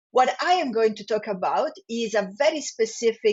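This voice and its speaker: A woman with an Italian accent talks at a moderate pace in a fairly high voice. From Italy. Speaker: business school professor. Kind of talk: podcast interview.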